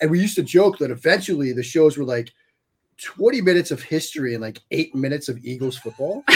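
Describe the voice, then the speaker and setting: A man talks very fast in a fairly high, somewhat breathy voice with lively intonation. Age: 40s. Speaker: sports writer and analyst. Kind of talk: casual podcast chat.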